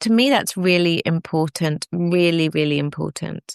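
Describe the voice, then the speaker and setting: A woman speaks with a northern English accent. Her pitch is fairly low. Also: dry, close sound with no echo. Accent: northern English twang. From northern England. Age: 50s. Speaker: fertility expert. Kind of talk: podcast interview. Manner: animated.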